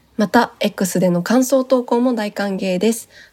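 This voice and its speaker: A woman speaks in an ordinary speaking voice at a medium pitch. Her intonation stays fairly even. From Shiga, Japan. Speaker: podcast co-host. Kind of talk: scripted announcement.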